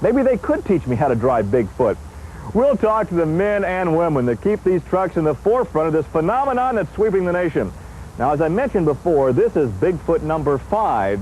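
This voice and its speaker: Over noticeable background noise, a man with a high pitch talks in an upbeat tone at a moderate pace, his pitch swinging very widely. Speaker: TV host. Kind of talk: home video host narration. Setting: outdoors.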